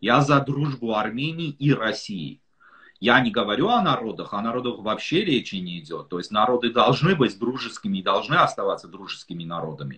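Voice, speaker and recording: At a moderate pace, a man with a medium-pitched voice speaks in very wide pitch swings. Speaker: political analyst. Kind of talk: interview. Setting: video call.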